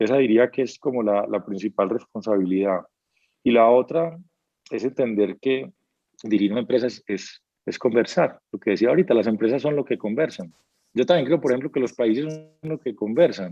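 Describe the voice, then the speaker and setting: Lively in intonation, a man with a medium pitch and a dark, mellow tone speaks in a dry, close sound with no echo. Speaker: business executive. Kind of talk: interview. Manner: fast; animated.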